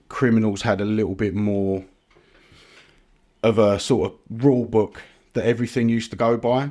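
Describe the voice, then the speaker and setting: In a London accent, a man with medium pitch and a dark, mellow tone talks at a moderate pace with fairly even intonation. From East London (Ilford). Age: 40s. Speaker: supplement brand founder. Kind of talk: podcast interview. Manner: casual, hesitant with fillers.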